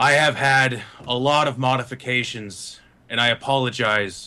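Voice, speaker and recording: This put-on character voice moves along at a moderate pace. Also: man, medium pitch for a man. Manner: apologetic.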